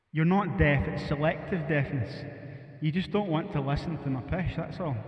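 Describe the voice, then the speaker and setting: Audible room echo and noticeable background noise surround a man with a strong Scottish accent. His pitch is fairly high, with ordinary variation. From Scotland. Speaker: musician live-streaming. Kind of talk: casual live stream chat. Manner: fast.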